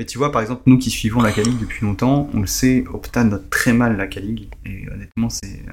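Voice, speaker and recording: Hardly pausing at all, a man keeps to a moderate pace. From Paris. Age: 30s. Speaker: football fantasy expert. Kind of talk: podcast interview.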